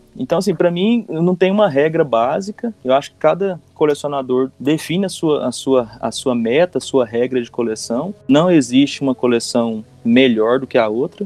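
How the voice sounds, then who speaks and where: A man with an ordinary speaking voice talks at a fairly high pitch and a moderate pace. His intonation is lively, with hardly any pauses. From Goiás, Brazil. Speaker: collector, fan community member. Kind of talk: casual podcast conversation.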